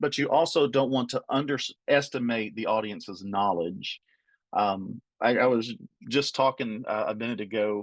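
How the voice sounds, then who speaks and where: Against a quiet background, a man speaks with an Appalachian accent. His pace is moderate. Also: medium pitch for a man, ordinary pitch variation, dry, close sound with no echo. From Appalachia, US. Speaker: trainer. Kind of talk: training webinar.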